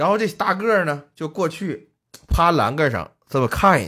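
A man talks with an animated tone and lively intonation. The recording is very clean, with a silent background. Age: middle-aged. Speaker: podcast host. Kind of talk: casual chat.

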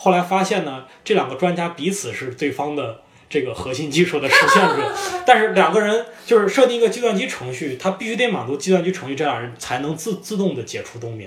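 Over noticeable background noise, a man with high pitch talks at a fairly quick pace, his pitch swinging very widely. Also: big swings in loudness. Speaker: podcast guest. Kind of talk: casual chat. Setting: cafe.

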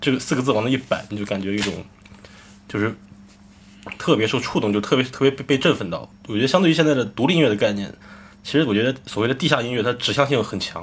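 A man at medium pitch, very fast in pace yet with long, frequent pauses. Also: ordinary pitch variation. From Shandong, Jining. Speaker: rock band lead singer. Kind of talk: casual chat.

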